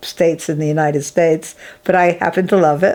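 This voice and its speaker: A woman with an American accent speaks in a plain, everyday voice, fairly low in pitch, at a moderate pace with ordinary pitch variation. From Massachusetts, US (Springfield). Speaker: artist and filmmaker. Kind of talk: interview.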